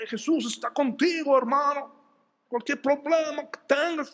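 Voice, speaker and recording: A high-pitched, put-on character voice at a fairly slow pace. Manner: fervent, preaching.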